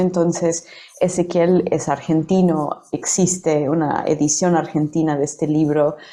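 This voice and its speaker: A woman speaks very slowly in a fairly low, dark, mellow voice with monotone, flat intonation. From United States. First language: English (speaking Spanish). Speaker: poet and translator. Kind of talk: interview. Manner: halting, many fillers and repetitions.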